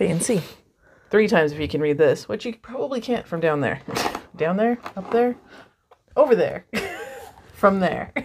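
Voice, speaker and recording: Over noticeable background noise, a woman talks at a moderate pace with lively intonation, big swings in loudness and long, frequent pauses. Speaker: crafter host. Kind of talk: casual unboxing vlog chat. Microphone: lapel.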